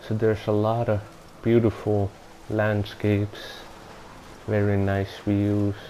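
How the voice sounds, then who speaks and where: With a non-native accent, a man speaks flatly in a monotone at a fairly low pitch and a fairly slow pace, leaving long, frequent pauses. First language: not English. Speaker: gaming video reviewer. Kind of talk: game review voiceover. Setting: home recording without soundproofing. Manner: halting, self-correcting.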